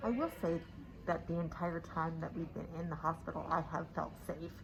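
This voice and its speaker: A woman speaks at a moderate pace in a fairly low voice with vocal fry. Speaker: vlogger. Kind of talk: vlog walkthrough. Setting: walking through a hospital.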